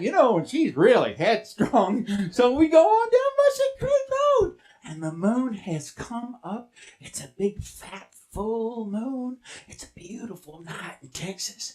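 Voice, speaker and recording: A playful, fairly high-pitched voice at a fairly slow pace. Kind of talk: tall tale. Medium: stage play. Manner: folksy, playful, joking with audience.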